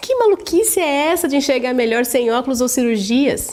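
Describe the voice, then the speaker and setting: Over noticeable background noise, a woman with a high pitch speaks at a moderate pace, her pitch swinging very widely. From interior of São Paulo state, Brazil. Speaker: vision training instructor. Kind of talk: sales pitch.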